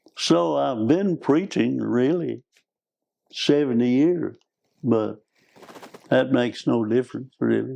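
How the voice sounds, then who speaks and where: With an Arkansas accent, a man talks at a very slow pace with long, frequent pauses, his medium-pitched voice dark and mellow in tone and lively in intonation. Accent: Southern US (Arkansas). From US South, northeast Arkansas. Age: 80s+. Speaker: preacher and missionary. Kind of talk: interview conversation.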